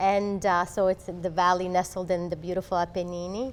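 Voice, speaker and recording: A woman of medium pitch speaks at a moderate pace. She has an Italian accent. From Italy (Abruzzo) and Canada. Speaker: law professor. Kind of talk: interview.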